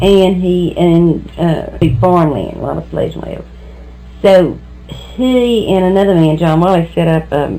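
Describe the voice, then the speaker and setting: With music in the background, a woman in an American accent speaks at a moderate pace. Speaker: local historian. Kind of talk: oral history interview.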